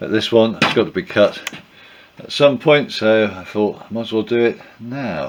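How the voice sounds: A man speaks with a croaky, fairly low pitch. His intonation is lively, and his pace is moderate.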